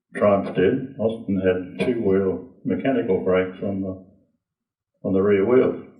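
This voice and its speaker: There is audible room echo as a man speaks at a fairly slow pace with ordinary pitch variation. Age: 90s. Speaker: racing driver and car maker. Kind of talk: casual talk to a club audience. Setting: lunch gathering with audience.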